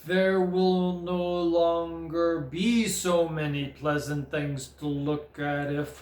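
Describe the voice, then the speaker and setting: A resonant put-on character voice at a middle pitch and a very slow pace with hardly any pauses, slight echo and light background noise. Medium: read story. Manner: severe.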